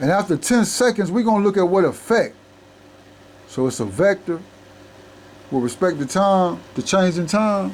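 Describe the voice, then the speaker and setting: Intonation is lively at a moderate pace. Long, frequent pauses break up the speech. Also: man, high pitch for a man. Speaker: math tutor. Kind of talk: lecture. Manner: halting.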